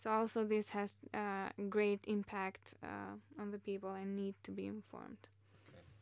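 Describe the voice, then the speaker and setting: Her loudness swings widely as the woman speaks at a moderate pace. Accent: non-native. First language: not English. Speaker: master's student in AI. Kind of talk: interview.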